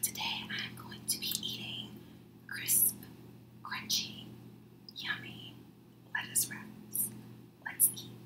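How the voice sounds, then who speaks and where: The speaker whispers at a very slow pace. Long, frequent pauses break up the words. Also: woman. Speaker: ASMR mukbang creator. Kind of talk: ASMR eating video talk. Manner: whispered. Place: home room. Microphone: studio mic.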